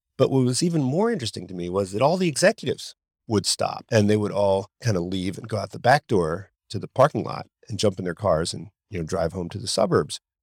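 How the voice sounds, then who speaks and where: A man with a fairly low voice, very fast pace, lively intonation and big swings in loudness, in a very clean, dry, close recording with a silent background and no echo. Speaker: podcast host. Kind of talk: interview conversation.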